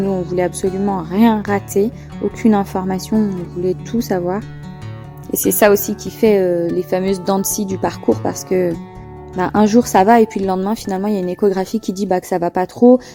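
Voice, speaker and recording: With music in the background, a woman in a relaxed tone talks at a fairly quick pace and medium pitch with ordinary pitch variation. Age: young. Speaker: mother of a premature baby. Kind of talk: interview answer. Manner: relaxed, simple, emotional.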